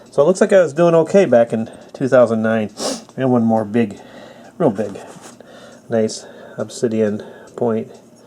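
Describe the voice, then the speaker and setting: Lively in intonation, a man speaks at medium pitch and a moderate pace. He leaves long, frequent pauses, and noticeable background noise is present. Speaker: flintknapper. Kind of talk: casual talk to camera.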